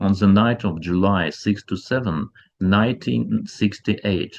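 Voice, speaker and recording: With a former Soviet accent, a man speaks at a moderate pace in a fairly low pitch and lively intonation. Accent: former Soviet Union. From former Soviet Union. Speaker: ufology researcher and channel host. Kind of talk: documentary-style narration.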